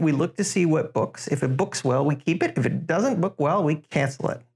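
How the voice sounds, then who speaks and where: A man with a normal speaking voice keeps a moderate pace, his fairly high pitch showing ordinary pitch variation. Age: 30s. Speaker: aviation business journalist. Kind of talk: casual interview.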